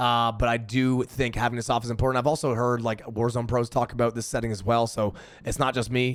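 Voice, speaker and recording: A man's medium-pitched voice on a very clean recording with a silent background. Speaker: gaming streamer. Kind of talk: tutorial. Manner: stuttering, many fillers; casual.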